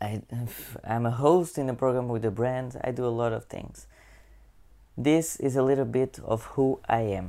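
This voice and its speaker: Medium-pitched male voice with a Portuguese accent, dark, mellow tone, ordinary pitch variation and long, frequent pauses, on a very clean recording with a silent background. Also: moderate pace. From Portugal. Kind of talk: channel intro monologue. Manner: halting.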